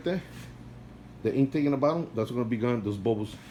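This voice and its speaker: A man with a non-native accent talks at a fairly quick pace in a dark, mellow tone. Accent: non-native accent, kept since youth. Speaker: aquarium hobbyist vlogger. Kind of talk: casual video update.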